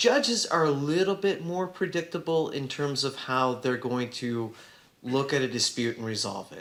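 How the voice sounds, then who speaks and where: The voice, in an American accent, moves at a moderate pace with lively intonation and audible room echo. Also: man. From Southern California. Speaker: trial attorney and school board president. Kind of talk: panel talk to students. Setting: classroom event with audience.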